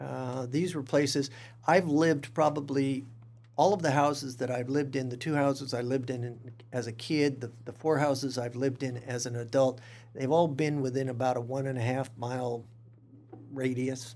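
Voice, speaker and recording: With a Californian accent, a man speaks at a moderate pace. His medium pitch follows a fairly even intonation. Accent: Californian American. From Stockton, California. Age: 50s. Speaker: museum director. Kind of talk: interview.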